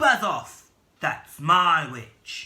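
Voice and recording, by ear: A man puts on a shrill, croaky, growling character voice.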